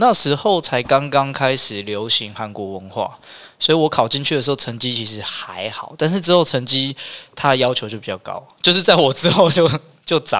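This man has a plain, everyday voice at a medium pitch. His intonation is lively. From Taiwan, Hualien. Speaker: restaurant owner. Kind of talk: casual chat.

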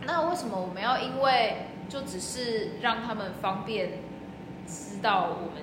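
Over noticeable background noise and audible room echo, a woman with a fairly high pitch and lively intonation speaks at a fairly slow pace. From Taiwan. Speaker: working holiday traveler, social worker. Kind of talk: casual chat. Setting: outdoors.

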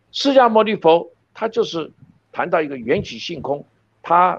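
A high-pitched man's voice at a fairly slow pace, with lively intonation. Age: 70s. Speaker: professor. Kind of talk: interview. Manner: fluent, unscripted.

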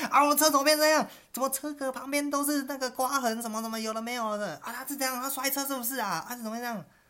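Delivered very fast, the words run together with hardly any pauses. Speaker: podcast co-host. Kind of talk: casual chat.

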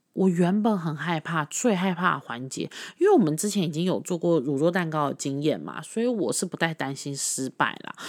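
On a very clean recording with a silent background, a woman with a fairly low pitch and a plain, everyday voice speaks at a fairly quick pace with ordinary pitch variation. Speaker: podcast host. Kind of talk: casual monologue.

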